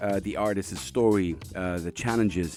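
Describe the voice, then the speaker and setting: Music plays in the background as a man speaks at a fairly quick pace. His pitch sits fairly low. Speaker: radio host. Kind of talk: radio show intro.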